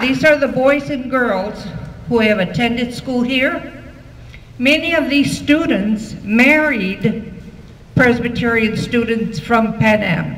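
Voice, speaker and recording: Through noticeable background noise and audible room echo, a woman speaks at a very slow pace in a fairly high pitch. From Texas. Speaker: school alumna. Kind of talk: banquet speech. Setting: banquet hall with audience.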